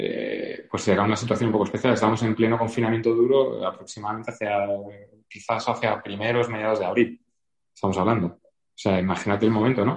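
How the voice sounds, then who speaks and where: A man races along at a very fast pace, his medium pitch carrying fairly even intonation. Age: 40s. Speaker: novelist. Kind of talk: interview. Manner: halting.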